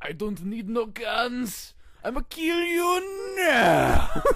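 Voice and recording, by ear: A put-on character voice speaks at a very slow pace. Its pitch is fairly high and swings very widely.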